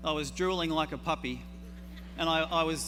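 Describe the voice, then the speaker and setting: A man with an Australian accent, audible room echo and music in the background. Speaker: herbalist. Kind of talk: conference talk. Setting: stage with audience.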